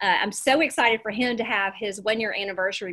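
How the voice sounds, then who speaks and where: A woman's fairly high, bright and sharp voice in a Southern US accent, against a quiet background. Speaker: real estate coach and presenter. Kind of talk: energetic, folksy presentation. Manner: fast talker. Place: home room. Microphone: webcam.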